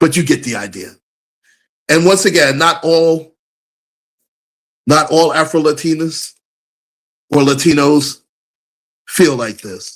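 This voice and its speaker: A man speaks in an animated tone at a fairly slow pace, with ordinary pitch variation and long, frequent pauses, on a very clean recording with a silent background. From USA. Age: 50s. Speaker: live streamer, commentator. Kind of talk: live stream commentary. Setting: live stream.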